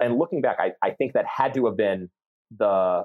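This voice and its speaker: This is a man speaking. He has an American accent. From central Massachusetts. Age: 30s. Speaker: sports fan guest. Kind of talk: casual chat. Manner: halting, many repeated words.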